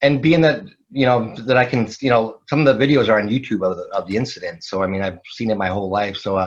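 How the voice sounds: Speaking at a fast pace, a man uses a fairly low pitch with ordinary pitch variation.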